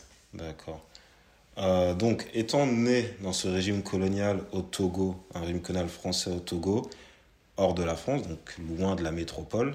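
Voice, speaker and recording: Speaking at a fairly slow pace with long, frequent pauses, a man has a very deep, low pitch and ordinary pitch variation. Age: 30s. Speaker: podcast host. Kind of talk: casual chat.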